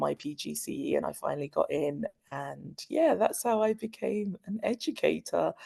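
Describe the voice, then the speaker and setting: Here a woman talks at a moderate pace. The sound is dry and close, with no echo. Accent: London. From London, England. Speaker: school dean of students. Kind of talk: interview.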